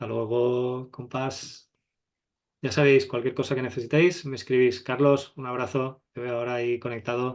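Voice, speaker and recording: At a moderate pace, a man with a medium pitch speaks in a monotone, flat intonation, with big swings in loudness. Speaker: photography teacher. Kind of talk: online masterclass.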